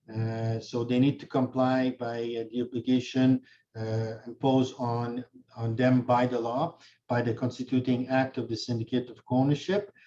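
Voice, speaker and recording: At a moderate pace, a man speaks at medium pitch with a dark, mellow tone and monotone, flat intonation. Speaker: notary and condo law instructor. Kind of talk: webinar lecture.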